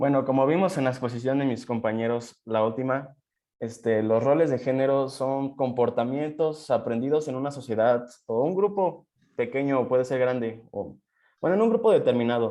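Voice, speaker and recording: At a moderate pace, a man speaks in an ordinary speaking voice with medium pitch and ordinary pitch variation. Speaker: student presenter. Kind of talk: seminar presentation.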